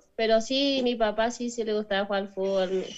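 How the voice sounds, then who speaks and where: With a northern Argentine accent, a woman speaks at a fairly high pitch. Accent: Argentine Spanish (northern, Chaco). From northern Argentina, Chaco province. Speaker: professional footballer. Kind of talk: interview. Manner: halting.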